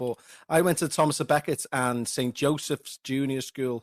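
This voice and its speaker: A man with a Liverpool accent speaks at a fairly high pitch. The recording is very clean, with a silent background and a dry, close sound with no echo. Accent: scouse. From Liverpool area, England (Huyton). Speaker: podcast host. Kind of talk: casual chat; scripted narration.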